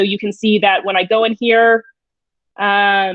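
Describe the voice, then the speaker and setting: A woman speaks at a moderate pace and fairly high pitch in a normal speaking voice, the sound dry with no echo over a quiet background. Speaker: digital learning coach. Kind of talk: webinar tutorial. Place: home room. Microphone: webcam.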